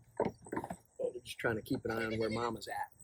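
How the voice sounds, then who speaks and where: A man talks at a moderate pace. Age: 60s. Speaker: homesteader and retired federal employee. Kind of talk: casual vlog talk. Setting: outdoors sitting on pallets with goats. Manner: halting, many fillers and repeats.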